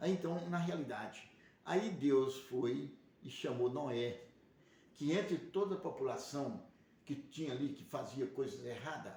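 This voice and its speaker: In a room with audible echo, a man talks at a fairly slow pace with vocal fry, a fairly high pitch, ordinary pitch variation and a dark, mellow tone. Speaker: religious livestream host. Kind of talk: religious teaching monologue. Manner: speaking quietly; rambling, repetitive.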